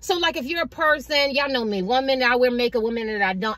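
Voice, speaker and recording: A woman talks very fast in a high voice. Her pitch varies in an ordinary way. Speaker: tarot reader. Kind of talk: tarot reading monologue. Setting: in a car.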